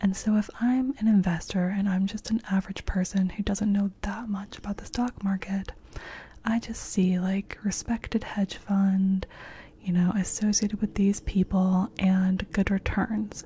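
Soft-spoken and flat in intonation, a woman talks in a monotone at a fairly slow pace. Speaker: storyteller. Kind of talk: explanatory commentary about a financial fraud. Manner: soft-spoken, hushed close-mic voice. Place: home room. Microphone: studio mic.

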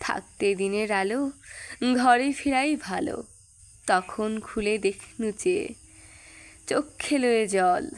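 Fairly high in pitch and lively in intonation, a woman talks in a plain, everyday voice. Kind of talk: poetry reading.

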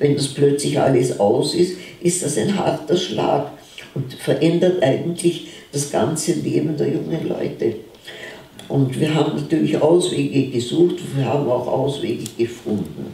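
Audible room echo surrounds a woman whose very deep, low pitch shows ordinary variation. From Vienna, Austria. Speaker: contemporary witness, author. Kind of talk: talk at a book presentation. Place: shop. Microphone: podium.

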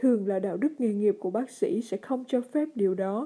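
This woman's voice has a dark, mellow tone and ordinary pitch variation. The background is quiet. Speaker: letter reader. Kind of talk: reading aloud. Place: studio. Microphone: studio mic.

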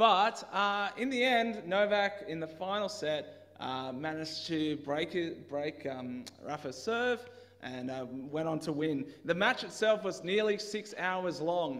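A man speaks with lively intonation at a fairly slow pace. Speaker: preacher. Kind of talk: sermon. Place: church. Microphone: headset.

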